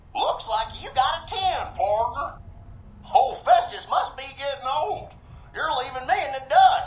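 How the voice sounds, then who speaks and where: A drawling, high-pitched put-on character voice with a Western US accent, at a fairly slow pace. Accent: old west cowboy. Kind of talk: cowboy storyteller. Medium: video game. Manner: folksy western drawl, slang like "partner", "tarnation", "drat".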